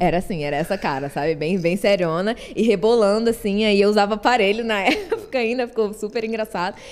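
With a plain, everyday voice, a woman at medium pitch talks at a fairly quick pace with ordinary pitch variation and hardly any pauses. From Rio de Janeiro, Brazil. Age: 20s. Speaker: content creator. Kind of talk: casual chat.

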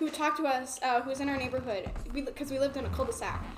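A woman's voice over noticeable background noise. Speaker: podcast co-host. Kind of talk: casual chat.

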